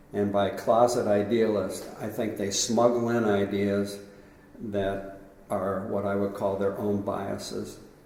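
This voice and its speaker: Over noticeable background noise and audible room echo, the speech moves at a fairly slow pace in a monotone, flat intonation. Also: man, fairly low pitch for a man. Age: 80s+. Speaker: sport philosopher. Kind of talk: interview. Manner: conversational.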